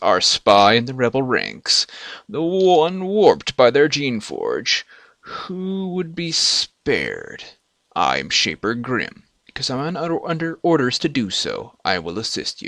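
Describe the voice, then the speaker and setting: Putting on a character voice, a man with a high pitch speaks at a fairly slow pace. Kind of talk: superior, disdainful. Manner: dramatic, theatrical.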